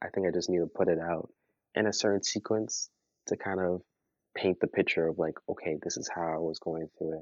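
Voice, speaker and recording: Speaking in a Toronto accent at a fairly quick pace, a man uses a very deep, low pitch and monotone, flat intonation. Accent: Canadian English, Toronto. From Toronto, Canada. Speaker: musician. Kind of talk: casual interview.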